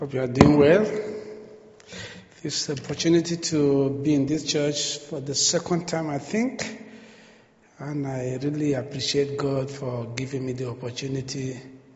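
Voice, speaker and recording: A man with a fairly high voice talks at a fairly slow pace, leaving long, frequent pauses. Audible room echo and noticeable background noise are present. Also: ordinary pitch variation. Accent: Nigerian. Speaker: missionary preacher. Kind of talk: sermon. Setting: church.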